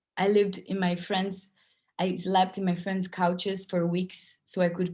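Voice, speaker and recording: Somewhat breathy and dark, mellow in tone, a woman with a non-native accent and a fairly low pitch speaks at a fairly slow pace. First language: not English. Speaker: workshop speaker. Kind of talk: online festival talk.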